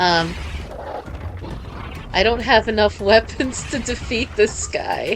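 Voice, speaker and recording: A woman with an American accent at a very slow pace, with noticeable background noise. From United States. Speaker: gaming streamer. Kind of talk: live stream gameplay commentary. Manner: halting, many fillers.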